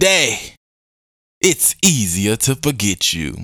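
The recording is very clean with a silent background. A man speaks in an animated, bright and sharp tone. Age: 20s. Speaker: podcast host. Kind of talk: casual monologue.

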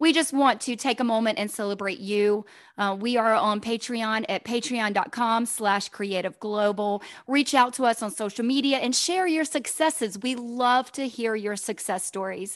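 Over a quiet background, a woman with a fairly high pitch speaks in an ordinary speaking voice at a moderate pace with ordinary pitch variation. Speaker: podcast co-host. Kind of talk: casual interview chat.

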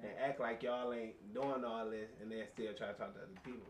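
A man speaks at a very fast pace. Audible room echo surrounds his voice. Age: 20s. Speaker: podcast guest. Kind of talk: casual chat.

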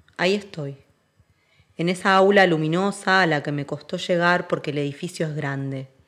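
At a moderate pace and with fairly even intonation, the speaker uses a Rioplatense accent in a very clean recording with a silent background. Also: woman. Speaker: actress and dancer. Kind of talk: scripted narration.

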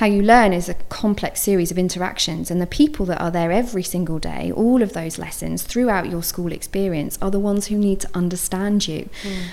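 Noticeable background noise sits behind a woman of medium pitch. She talks at a fairly quick pace with hardly any pauses and ordinary pitch variation. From multicultural household, Swedish father. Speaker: school inclusion specialist. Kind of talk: casual chat.

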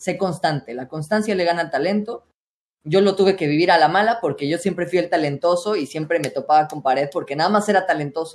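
A man's high voice at a very fast pace with ordinary pitch variation. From Mexico, State of Mexico. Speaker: streamer and voice coach. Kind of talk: casual interview.

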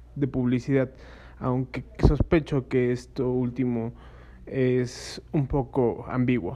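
A man's medium-pitched voice, very slow, with monotone, flat intonation. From Mexico, Puebla. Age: 30s. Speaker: podcast host. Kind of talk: casual monologue. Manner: halting, many fillers.

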